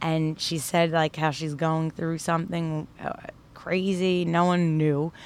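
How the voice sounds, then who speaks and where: In a New York accent, a woman speaks at a fairly slow pace and fairly low pitch with monotone, flat intonation. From Brooklyn, New York. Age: 30s. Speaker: stand-up comedian. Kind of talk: casual chat.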